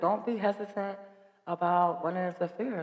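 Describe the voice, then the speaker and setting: A woman speaks over noticeable background noise. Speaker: podcast host. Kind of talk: casual chat.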